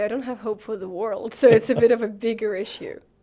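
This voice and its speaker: Noticeable background noise behind a woman speaking fairly quickly at a fairly high pitch. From Ukraine. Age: 20s. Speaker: journalist, podcast co-host. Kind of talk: casual chat.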